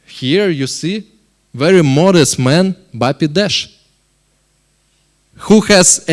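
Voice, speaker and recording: A man with a Russian accent, high-pitched with lively intonation, at a very slow pace. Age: 30s. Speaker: company board member. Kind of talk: investment presentation. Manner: halting.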